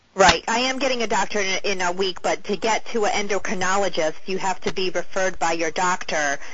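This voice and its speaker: A woman at a fairly quick pace amid noticeable background noise and audible room echo. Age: 30s. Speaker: caller. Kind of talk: phone-in question.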